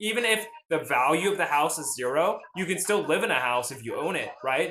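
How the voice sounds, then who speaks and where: A man with an American accent and lively intonation at a fairly quick pace, in a room with audible echo. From US South, Nashville, Tennessee. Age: 20s. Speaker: finance livestreamer. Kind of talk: casual livestream chat. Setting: live stream. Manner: animated.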